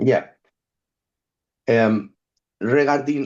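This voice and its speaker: The background stays quiet. This man's pitch varies in an ordinary way. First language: not English. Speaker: photographic artist and musician. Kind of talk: reading prepared text in group discussion. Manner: halting.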